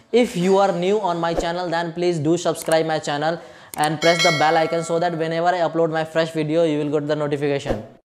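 A man talks very fast in a high voice with fairly even intonation over noticeable background noise. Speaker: YouTuber giving cruise job advice. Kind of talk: casual Q&A vlog.

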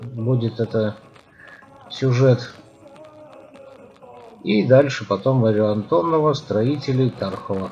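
A man talking at a very slow pace with long, frequent pauses over light background noise. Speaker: cycling vlogger. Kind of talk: casual vlog chat. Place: street. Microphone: phone near.

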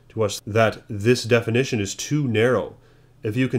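The intonation is fairly even. The speaker is reading aloud in a natural voice.

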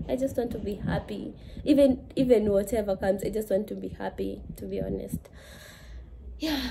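Noticeable background noise sits under speech at a moderate pace, with long, frequent pauses and big swings in loudness. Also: woman. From Kenya. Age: 20s. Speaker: lifestyle vlogger. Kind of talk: casual vlog. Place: home room. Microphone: phone near.

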